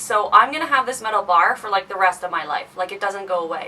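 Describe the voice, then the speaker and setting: A woman speaks at a medium pitch and a moderate pace. Her pitch varies in an ordinary way, and there is noticeable background noise. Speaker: beauty and lifestyle vlogger. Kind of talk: tutorial. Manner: casual, filler-heavy.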